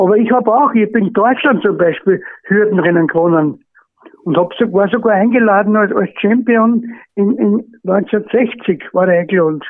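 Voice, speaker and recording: A high-pitched man with an Austrian accent at a moderate pace. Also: ordinary pitch variation. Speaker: retired horse racing trainer. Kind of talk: surprise phone greeting. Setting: phone call. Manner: halting.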